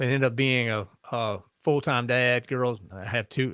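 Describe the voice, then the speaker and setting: Recorded very cleanly with a silent background and a dry, close sound with no echo, a man speaks at a medium pitch with fairly even intonation. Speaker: podcast host. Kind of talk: interview answer. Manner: soft-spoken.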